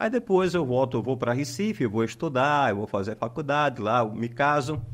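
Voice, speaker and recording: The man's pitch is medium, his intonation lively. He keeps a moderate pace and very even loudness. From Pernambuco, Brazil (interior, Timbaúba). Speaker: psychologist. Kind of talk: podcast interview. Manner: halting.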